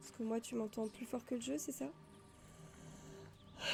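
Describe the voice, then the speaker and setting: Music plays behind a woman whose fairly high voice moves at a fairly slow pace. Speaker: gaming streamer. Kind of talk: live gameplay stream chat. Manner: casual, hesitant. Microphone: stream audio too quiet.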